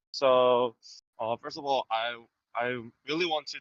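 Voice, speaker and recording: In a Korean accent, a man talks at a medium pitch with ordinary pitch variation. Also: dry, close sound with no echo. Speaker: fan guest. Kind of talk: reading from prepared script. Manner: hesitant, many fillers.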